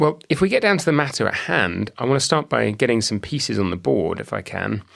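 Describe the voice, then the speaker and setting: In a British accent, a man races along at a very fast pace with vocal fry and very wide pitch swings. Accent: British Isles. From British Isles. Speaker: podcast host, academic. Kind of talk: interview podcast.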